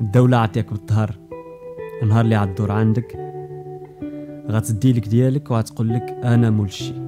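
Music plays in the background as a man of medium pitch speaks at a moderate pace with ordinary pitch variation and long, frequent pauses. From Morocco. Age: young. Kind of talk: podcast monologue.

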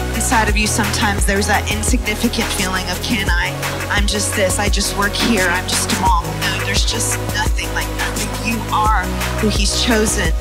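Loud music plays in the background. Over it, a woman speaks at a moderate pace. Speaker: pastor and speaker. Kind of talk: motivational sermon. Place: stage. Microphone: handheld.

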